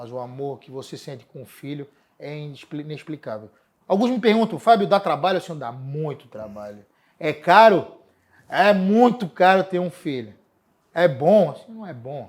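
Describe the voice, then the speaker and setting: Very wide pitch swings and big swings in loudness fill this very clean recording with a silent background. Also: man, fairly high pitch for a man, moderate pace. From Florianópolis, Brazil. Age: 40s. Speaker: city environment secretary. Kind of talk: interview.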